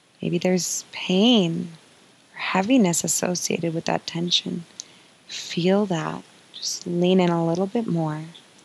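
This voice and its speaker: A woman speaks in a soothing, gentle tone at a fairly low pitch and a fairly slow pace. Her intonation is fairly even, with noticeable background noise behind her. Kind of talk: guided meditation. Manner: soft, slow and soothing, with gentle sighs and pauses, inviting and warm.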